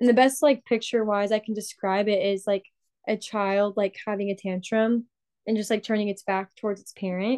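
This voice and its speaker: In an American accent, a woman of medium pitch talks at a moderate pace with fairly even intonation in an unremarkable speaking voice, the sound dry and close with no echo. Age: 20s. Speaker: recent graduate, ministry worker. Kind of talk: casual chat.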